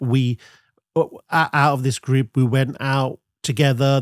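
A man with an English Midlands accent speaks in a fairly high voice on a very clean recording with a silent background and a dry, close sound with no echo. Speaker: brand consultant, agency owner. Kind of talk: casual chat.

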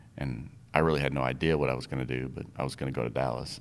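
Over audible room echo, a man with a very deep, low voice and vocal fry talks at a fairly quick pace with fairly even intonation. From Minnesota (upper Midwest), born in Iowa. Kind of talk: casual interview chat.

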